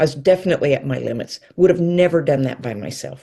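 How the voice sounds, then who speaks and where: This woman's voice is very deep and low, with a dark, mellow tone and somewhat breathy quality. She talks at a moderate pace with ordinary pitch variation. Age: 60s. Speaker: yoga instructor, retiree. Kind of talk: interview podcast.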